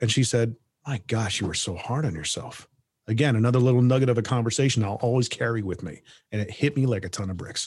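In a quiet background, a man with a medium-pitched, somewhat breathy voice speaks very fast with ordinary pitch variation. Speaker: voiceover artist and podcast host. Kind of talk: casual interview conversation.

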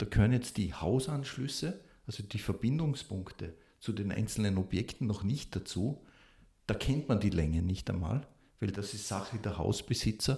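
A man speaks at a moderate pace in a fairly low-pitched voice. His tone is dark and mellow and somewhat breathy. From Austria, Salzburg (Pongau). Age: 50s. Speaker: civil engineering professor. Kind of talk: expert interview.

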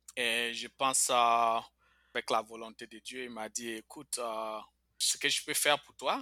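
Dry and close with no echo, this very clean recording with a silent background captures a man's bright, sharp tone. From Ivory Coast, Bouaké. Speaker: immigrant telling life story. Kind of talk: interview testimony. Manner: hesitant, with fillers.

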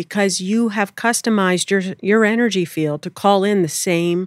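With an American accent, a woman speaks in an unremarkable speaking voice at a moderate pace with ordinary pitch variation, on a very clean recording with a silent background and a dry, close sound with no echo. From Pennsylvania. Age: 30s. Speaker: spiritual teacher and channeler. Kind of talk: interview conversation. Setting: studio.

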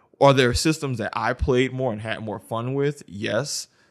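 A man with an American accent, a plain, everyday voice, ordinary pitch variation and a moderate pace. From US South, New Orleans. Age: 20s. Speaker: podcast co-host, school teacher. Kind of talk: casual chat.

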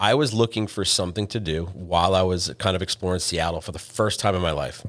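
A man with an American accent, fairly low-pitched and fairly quick, with ordinary pitch variation, on a very clean recording with a silent background. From New England, northeastern US. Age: 40s.

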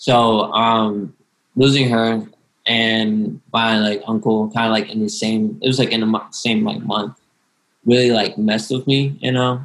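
A man's plain, everyday voice, medium in pitch, at a fairly slow pace with fairly even intonation. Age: 19. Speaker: student, aspiring actor and writer. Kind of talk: casual group discussion.

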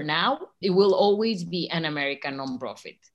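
A woman speaks at a fairly low pitch in a Spanish accent. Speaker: nonprofit co-founder supporting artists. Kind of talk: brand strategy work session. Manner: enthusiastic.

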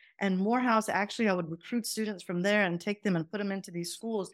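A woman with a slight Southern US accent, fairly even intonation, on a very clean recording with a silent background. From Pakistan, then Atlanta Georgia. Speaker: professor and mentoring consultant. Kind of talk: casual interview chat.

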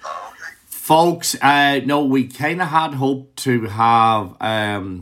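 A man speaks with an Irish accent. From Ireland. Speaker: music podcast interviewer. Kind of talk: interview. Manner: animated.

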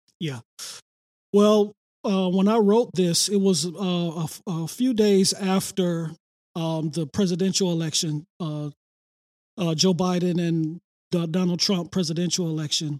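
A high-pitched man with an American accent speaks at a fairly slow pace, leaving long, frequent pauses. His intonation stays fairly even. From Detroit, east side. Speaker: pastor. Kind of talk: podcast interview.

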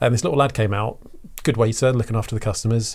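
In a very clean recording with a silent background, a man with an Essex accent sounds somewhat breathy. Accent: southern English (Essex). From Essex, England. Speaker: creative director. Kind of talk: casual interview chat.

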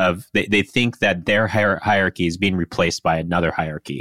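The recording is very clean, with a silent background and a dry, close sound with no echo. A man with an American accent speaks in a bright, sharp tone. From US Pacific Northwest, Seattle area. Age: 30s. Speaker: podcast co-host. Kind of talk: casual chat.

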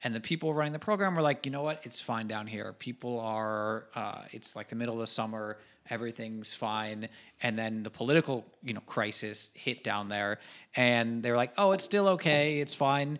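A man with a normal speaking voice talks at a moderate pace and medium pitch, using ordinary pitch variation. The recording is very clean, with a silent background. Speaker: podcast co-host. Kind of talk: casual chat.

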